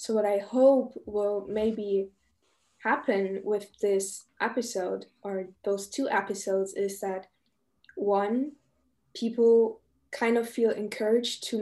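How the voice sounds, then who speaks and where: At a very slow pace, a woman speaks with a fairly high pitch, a dark, mellow tone and fairly even intonation. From Germany. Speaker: podcast host. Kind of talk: casual chat.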